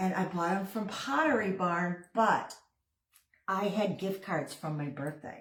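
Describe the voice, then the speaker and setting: A woman speaks at medium pitch and a fairly slow pace. There is audible room echo. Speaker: craft video creator. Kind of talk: casual crafting tutorial chat. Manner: chatty, rambling with fillers.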